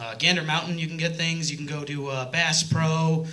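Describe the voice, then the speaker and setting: A man with an American accent speaks at a moderate pace in a monotone, with flat intonation. Audible room echo and noticeable background noise are present. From New York area. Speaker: stand-up comedian. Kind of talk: stand-up. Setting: stage with audience. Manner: loud.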